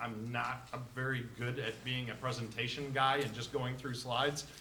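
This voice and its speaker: A man speaks at a moderate pace and a medium pitch, his intonation monotone and flat. Noticeable background noise and audible room echo fill the recording. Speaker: digital marketing presenter. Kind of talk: interactive presentation. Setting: live event with audience. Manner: loud.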